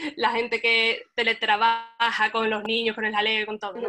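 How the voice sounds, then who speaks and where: A woman speaks fairly slowly with a fairly high pitch and a bright, sharp tone. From Cádiz, Spain. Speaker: web developer. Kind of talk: webinar panel discussion.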